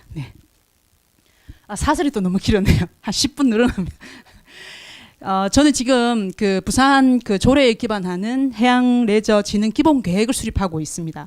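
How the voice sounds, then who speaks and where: Speaking at a moderate pace with a fairly high pitch and lively intonation, a woman takes long, frequent pauses. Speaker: researcher presenting at forum. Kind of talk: conference presentation. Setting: conference hall with audience. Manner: speeds up and uses dialect when nervous; halting, many fillers.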